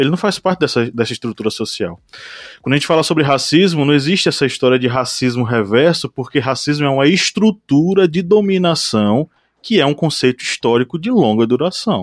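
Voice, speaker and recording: In a dry, close sound with no echo, a man uses a normal speaking voice at a fairly high pitch. He talks at a fairly quick pace with lively intonation. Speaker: podcast host. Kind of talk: casual chat.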